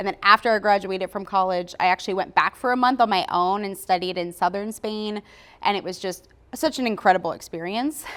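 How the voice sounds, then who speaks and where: In a very clean recording against a silent background, a plain, everyday voice talks at a fairly quick pace. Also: woman. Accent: American. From US, Philadelphia. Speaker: marketing business owner. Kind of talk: podcast interview.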